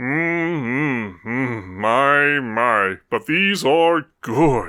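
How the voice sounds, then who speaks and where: This man mumbles and rumbles in a put-on character voice. The recording is very clean, with a silent background. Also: medium pitch for a man. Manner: mumbling, greedy.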